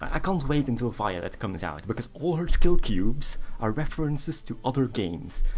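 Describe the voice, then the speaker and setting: Using vocal fry, a man talks at a fairly quick pace with hardly any pauses and very wide pitch swings. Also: medium pitch for a man. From Belgium. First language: not English (Dutch or French). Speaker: game streamer. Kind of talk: casual live-stream commentary. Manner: casual with fillers.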